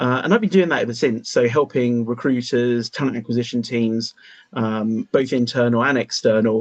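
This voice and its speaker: A man's medium-pitched voice with a British accent, fairly even intonation and a moderate pace, dry and close with no echo. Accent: British, unlike the others. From UK. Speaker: AI recruitment consultant. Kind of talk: panel discussion.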